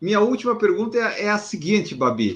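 The man's pitch sits high. He speaks at a fairly quick pace. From southern Brazil, Florianópolis. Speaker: podcast host. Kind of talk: interview.

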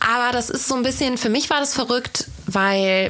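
A woman at a moderate pace, ordinary pitch variation, noticeable background noise behind her. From Rhineland, Bergisch Gladbach near Cologne. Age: 20s. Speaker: podcast host, social media marketing consultant. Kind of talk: casual chat.

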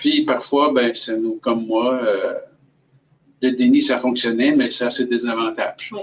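A man speaks with a Quebec accent. His pace is fairly slow, with long, frequent pauses. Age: 60s. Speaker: cancer patient and volunteer. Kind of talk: testimony. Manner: hesitant, many fillers.

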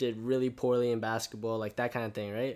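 Recorded very cleanly against a silent background, a man with an American accent talks at a fairly quick pace in a medium pitch. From Canada, Vancouver, after US and China. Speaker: university student. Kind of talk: casual interview. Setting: face to face in person.

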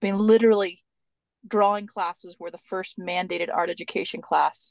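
A woman's medium-pitched voice at a moderate pace, dry and close with no echo, against a quiet background. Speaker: podcast co-host, art educator. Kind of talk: casual interview chat.

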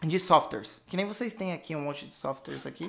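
A man speaks in a bright, sharp tone at a high pitch. His intonation is lively. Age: 20s. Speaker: financial educator. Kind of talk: casual chat.

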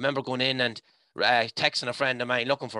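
A man speaks with an Irish midlands accent in a bright, sharp tone. The recording is very clean with a silent background and a dry, close sound with no echo. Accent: Irish (north-west midlands). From Ireland, County Leitrim. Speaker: hiking group founder. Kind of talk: personal testimony. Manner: animated.

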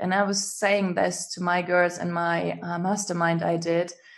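A fairly low-pitched female voice in a German accent, moderate in pace, monotone and flat, over a quiet background. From Germany. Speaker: business coach and healer. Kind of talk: casual interview chat.

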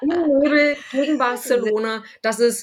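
Noticeable background noise behind a woman's voice with ordinary pitch variation. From Berlin. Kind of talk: casual chat.

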